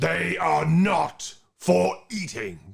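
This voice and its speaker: In a raspy put-on character voice, a man speaks at a fairly low pitch. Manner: quiet, menacing.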